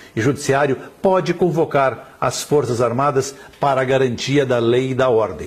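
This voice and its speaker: Against noticeable background noise, a man with a fairly high voice talks at a moderate pace. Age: 60s. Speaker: journalist and blogger. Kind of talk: political commentary monologue. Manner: forceful.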